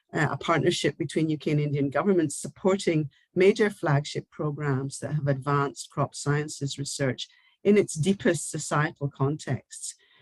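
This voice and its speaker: A woman's very deep, low, somewhat breathy voice at a moderate pace, with ordinary pitch variation and a dry, close sound lacking echo. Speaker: university research leader. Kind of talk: formal closing speech. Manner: formal.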